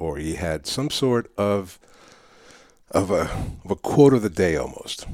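A man's dark, mellow voice proceeds at a fairly slow pace. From New York City. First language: Spanish. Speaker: public speaking coach. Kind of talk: interview.

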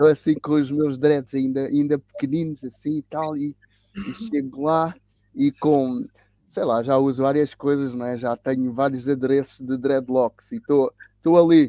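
A man talks at a fairly slow pace with fairly high pitch and fairly even intonation. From Cape Verde (São Vicente), raised in Lisbon area, Portugal. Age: 60s. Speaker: tennis coach and teacher, anti-racism activist. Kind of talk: interview conversation. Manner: halting, with repetitions.

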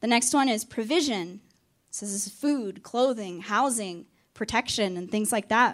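On a very clean recording with a silent background, a woman with an American accent speaks at a moderate pace in a fairly high pitch with ordinary pitch variation. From Arkansas. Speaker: campus ministry staff. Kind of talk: sermon.

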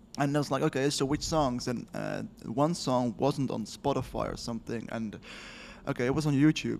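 A man speaks with a Dutch accent at a moderate pace, his pitch medium and his intonation fairly even. The recording is very clean, with a silent background. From Netherlands. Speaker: podcast co-host, developer. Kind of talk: casual chat.

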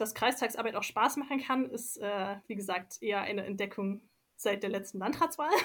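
This woman has an unremarkable speaking voice with a fairly high pitch. She speaks at a moderate pace with ordinary pitch variation. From Leipzig, Saxony. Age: 20s. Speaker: local councillor, environmental engineer. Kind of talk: interview.

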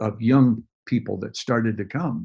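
A man's normal speaking voice with an American accent, medium pitch, and a moderate pace. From US Midwest, Detroit. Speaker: pastor. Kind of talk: interview about faith and ministry.

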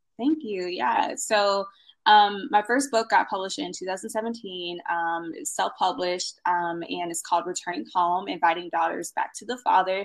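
A woman with an unremarkable speaking voice and medium pitch talks at a fairly slow pace, with hardly any pauses, lively intonation and big swings in loudness. The recording is very clean, with a silent background. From US, military family, moved around. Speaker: blogger and content strategist. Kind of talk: podcast interview.

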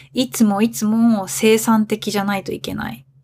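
A woman of medium pitch speaks at a fairly slow pace in an unremarkable speaking voice. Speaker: podcast host, Japanese teacher. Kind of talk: language-learner podcast monologue. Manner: clear, learner-friendly pace.

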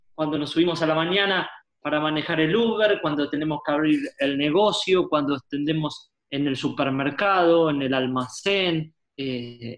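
A fairly high-pitched man with a Rioplatense accent, speaking at a moderate pace with ordinary pitch variation. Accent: Rioplatense Spanish (porteño). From Argentina, Buenos Aires. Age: 30s. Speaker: pastor and author. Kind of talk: interview.

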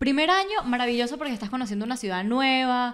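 In a Venezuelan accent, a woman talks at a very fast pace with a fairly high pitch, an animated tone and lively intonation. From Venezuela, Valencia (Carabobo). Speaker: graphic designer. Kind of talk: casual chat.

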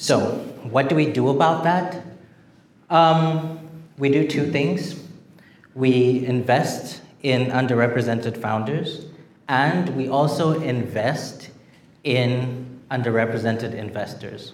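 Speaking very slowly with long, frequent pauses, a man uses a medium pitch with ordinary variation while audible room echo surrounds him. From Zimbabwe. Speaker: venture capital investor and author. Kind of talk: public talk at an event. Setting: stage with audience.

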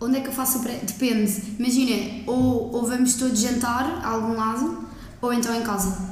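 In a room with audible echo and noticeable background noise, a woman speaks at a moderate pace in a high pitch with monotone, flat intonation. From central Portugal (Coimbra, Aveiro). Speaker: law student. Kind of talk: casual chat.

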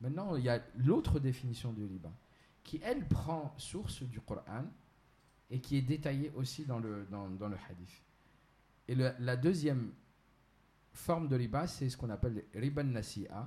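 A man with a medium pitch and a dark, mellow, somewhat breathy tone, lively intonation, a fairly slow pace and long, frequent pauses. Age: 30s. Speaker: entrepreneur and Islamic finance specialist. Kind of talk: explanatory interview. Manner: hesitant, many fillers.

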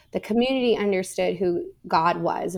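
A woman with a Californian accent, vocal fry and a moderate pace. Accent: General American, Californian. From US West Coast, Orange County, California. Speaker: seminary professor. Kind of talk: interview.

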